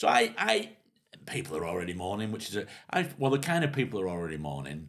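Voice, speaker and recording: Vocal fry marks this man's very fast speech. His pitch rises and falls over a very wide range. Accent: Manchester. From northern England. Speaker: comedian and podcast host. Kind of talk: casual chat.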